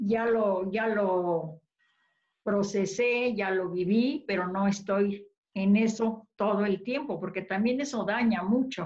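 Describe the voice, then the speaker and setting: Against a quiet background, a woman talks at a very slow pace in a somewhat breathy voice with ordinary pitch variation. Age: 80s. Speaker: vegan cooking youtuber, interviewee. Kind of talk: casual chat. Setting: video call. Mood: warm, cheerful. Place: kitchen. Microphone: video call.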